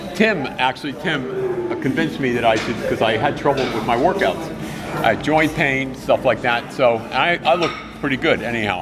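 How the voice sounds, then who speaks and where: Over music in the background, a man speaks at a moderate pace with lively intonation. His pitch is fairly high, and the room echo is audible. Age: 60s. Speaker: gym regular on a podcast. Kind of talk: casual chat.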